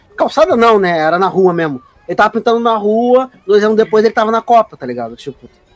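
Over music in the background, a man talks very fast in a high pitch with lively intonation, the sound dry and close with no echo. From Rio de Janeiro, Brazil (Praça Seca). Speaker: podcast guest. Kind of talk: casual chat.

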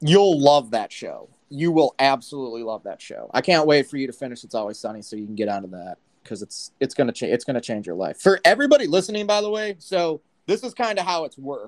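A man with an American accent talks very fast at a fairly high pitch, with very wide pitch swings and big jumps in loudness. The sound is dry and close, with no echo. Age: 30s. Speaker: live audio chat host. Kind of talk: casual chat. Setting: live audio app.

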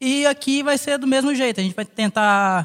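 The speech has lively intonation and a fairly slow pace. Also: man. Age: 20s. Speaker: podcast co-host, barber. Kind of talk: casual chat.

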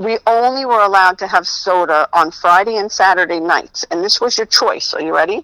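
Bright and sharp in tone, a woman speaks at medium pitch with an American accent and a fairly quick pace. Her pitch variation is ordinary, and the sound is dry and close with no echo. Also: hardly any pauses. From New Jersey. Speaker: comedian. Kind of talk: casual chat.

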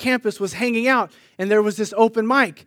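On a very clean recording with a silent background, a man with an American accent speaks at a high pitch and a moderate pace in an animated tone. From US West Coast (Sunnyvale, California). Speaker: pastor. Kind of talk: sermon.

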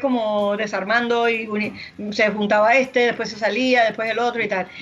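With noticeable background noise behind her, a woman talks at a fairly quick pace. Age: 50s. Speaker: podcast co-host. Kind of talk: casual chat.

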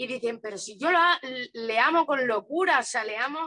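A woman speaks in a raised, projected voice, high-pitched with a bright, sharp tone and lively intonation. Her pace is fairly slow, and the sound is dry and close with no echo. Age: 30s. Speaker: spiritual content creator. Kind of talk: casual interview.

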